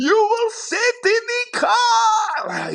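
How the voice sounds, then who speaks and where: An extremely high-pitched, put-on character voice. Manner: yelling.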